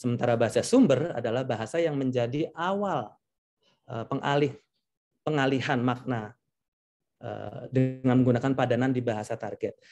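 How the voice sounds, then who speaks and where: With music in the background, a man in a Javanese accent speaks at a moderate pace, in a medium pitch with ordinary pitch variation. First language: Javanese (speaking Indonesian). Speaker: translator. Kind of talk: lecture.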